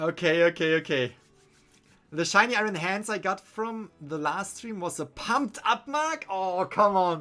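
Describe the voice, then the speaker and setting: The speech comes at a fairly slow pace in a German accent. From Germany. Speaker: gaming streamer. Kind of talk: live stream commentary. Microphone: studio condenser mic.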